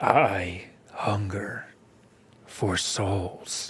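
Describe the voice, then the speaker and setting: A man whispers in a put-on character voice that is raspy and rumbling. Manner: ominous, whispering.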